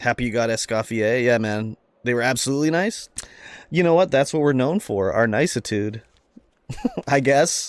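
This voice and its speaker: In a Canadian accent, a man speaks at a moderate pace and medium pitch with ordinary pitch variation and long, frequent pauses. The recording is very clean, with a silent background. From Canada. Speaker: video game streamer. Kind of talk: live-stream gameplay chat. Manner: animated.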